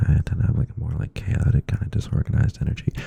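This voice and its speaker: Against noticeable background noise, the words come at a fairly quick pace. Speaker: ASMR creator. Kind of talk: ASMR rambling chat. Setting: close to the microphone. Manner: rambling, filler-heavy.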